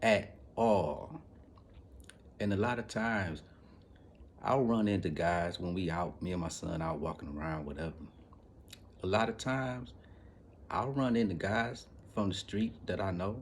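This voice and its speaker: A man with a fairly low pitch, an animated tone and lively intonation, at a moderate pace broken by long, frequent pauses. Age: 40s. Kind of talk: casual monologue vlog. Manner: animated, repetitive.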